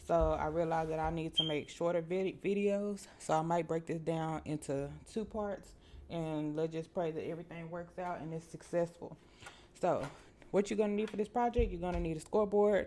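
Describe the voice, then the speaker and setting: A woman with a Southern US accent speaks at a moderate pace. Her dark, mellow tone sits at a fairly low pitch, and her intonation stays fairly even. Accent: US South. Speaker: crafting tutorial host. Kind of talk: tutorial. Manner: casual, filler-heavy.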